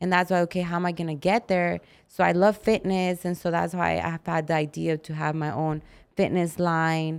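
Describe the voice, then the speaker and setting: Recorded very cleanly over a silent background, a woman with an American accent and a normal speaking voice talks at a moderate pace, fairly low in pitch with fairly even intonation. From Arizona. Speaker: fitness competitor. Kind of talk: casual interview chat.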